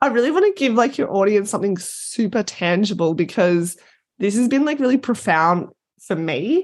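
The woman's pitch rises and falls very widely. She keeps a moderate speed. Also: quiet background. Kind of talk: casual interview chat. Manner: animated, loud at times.

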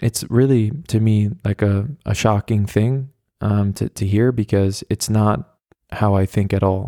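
Speaking at a fairly slow pace with an American accent, a man uses a monotone, flat intonation and a fairly low pitch, his tone dark and mellow in a dry, close sound with no echo and a very clean recording over a silent background. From US, New York. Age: 20s. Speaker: podcast host. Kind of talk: casual solo monologue. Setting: home recording, walking around flat. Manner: casual, filler-heavy with restarts.

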